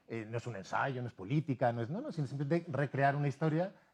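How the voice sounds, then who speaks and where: A man with a Spanish accent speaks at a fairly high pitch. The background is quiet. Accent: Spanish (Spain). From Spain, Madrid. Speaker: novelist and university teacher. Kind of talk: TV interview. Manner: halting, many fillers.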